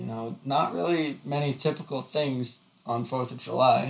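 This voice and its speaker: Behind this man's voice there is noticeable background noise. He speaks fairly slowly at a medium pitch, with ordinary pitch variation. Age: 20s. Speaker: podcast co-host and college student. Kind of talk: casual chat. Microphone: echoey audio from poorly set up mic.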